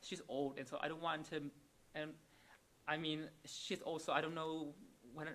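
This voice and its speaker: In a Vietnamese accent, a man talks at a moderate pace with a fairly high pitch, a bright, sharp tone and monotone, flat intonation. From Vietnam, Hanoi. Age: 20s. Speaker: psychiatric nurse. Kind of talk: interview. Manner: halting, many repetitions and fillers.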